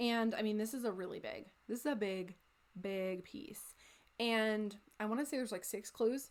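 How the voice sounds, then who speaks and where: A woman with an American accent speaks in a plain, everyday voice. Her pitch is fairly high with ordinary variation, at a moderate pace. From United States. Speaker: crafting video creator. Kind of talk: casual chat. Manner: casual with fillers.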